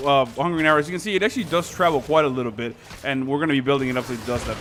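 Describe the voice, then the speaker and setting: Over noticeable background noise, a man talks at a very fast pace and a fairly high pitch. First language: Spanish. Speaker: gaming YouTuber. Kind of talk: gameplay commentary. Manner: casual, many fillers.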